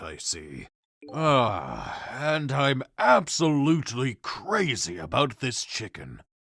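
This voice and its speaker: In a put-on character voice, the speaker moves at a very slow pace with very wide pitch swings and big swings in loudness. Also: man, medium pitch for a man. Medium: fan dub. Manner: calm, dry, world-weary.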